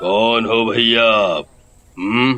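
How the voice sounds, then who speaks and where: In a cartoonish character voice, a man delivers his lines with monotone, flat intonation. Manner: curt, unfriendly.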